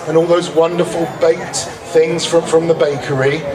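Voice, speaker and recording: A man with a fairly high-pitched voice speaks in a room with audible echo. Crowd noise can be heard in the background. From England. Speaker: master of ceremonies at a cultural festival. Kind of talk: emcee address to an outdoor audience.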